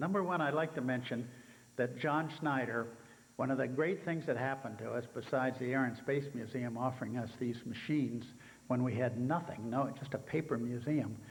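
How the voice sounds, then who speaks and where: A man with a fairly high pitch talks at a fairly quick pace in a somewhat breathy voice, with audible room echo. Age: 80s+. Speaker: helicopter museum founder. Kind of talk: speech to conference audience. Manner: halting, many fillers.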